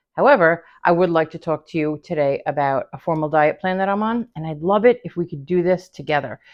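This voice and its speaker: A woman with an ordinary speaking voice and a fairly low pitch talks at a fairly quick pace with hardly any pauses and ordinary pitch variation. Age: 50s. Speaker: lifestyle vlogger. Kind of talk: casual talk to camera.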